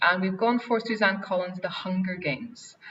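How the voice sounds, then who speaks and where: A woman with an Irish accent, medium in pitch, at a moderate pace. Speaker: head of English department, teacher. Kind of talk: Q&A answer; webinar presentation. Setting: online webinar.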